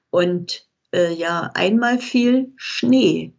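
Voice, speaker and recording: A woman speaks with ordinary pitch variation. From Germany (childhood from age 8). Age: 80s+. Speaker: retired teacher and eyewitness of Shanghai exile. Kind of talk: interview testimony.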